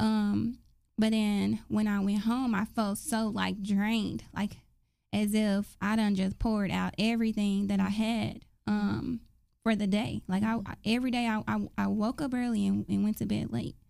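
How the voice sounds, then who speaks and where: A woman speaks at a moderate pace with very even loudness. The recording is very clean, with a silent background. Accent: American. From US South, Dallas, Texas. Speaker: faith podcast co-host. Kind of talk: casual faith chat.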